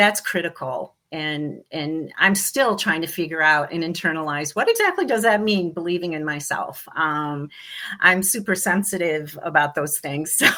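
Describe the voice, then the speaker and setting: A woman with an American accent has a fairly low pitch and a bright, sharp tone. Her pitch varies in an ordinary way. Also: moderate pace. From US East Coast. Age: 60s. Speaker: interior designer and business owner. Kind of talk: interview. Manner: halting, with many fillers.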